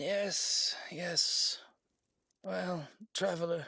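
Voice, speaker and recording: A man puts on a raspy character voice, pitched high. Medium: audio drama. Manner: warm, gently teasing.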